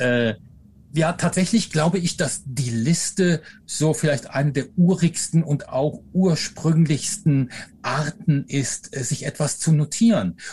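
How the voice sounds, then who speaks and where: Very slowly, a man with a dark, mellow tone speaks at a fairly high pitch. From Rhineland, Germany (Eifel/Aachen area), later Upper Franconia. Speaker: professor and author. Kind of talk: interview. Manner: hesitant fillers.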